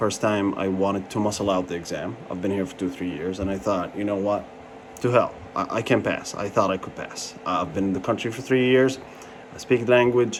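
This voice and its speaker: Fairly even intonation from a man pitched fairly low, with noticeable background noise behind him. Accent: Arabic. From Jordan. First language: Arabic. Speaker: pharmacy license candidate, vlogger. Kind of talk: personal review vlog. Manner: casual, hesitant with fillers.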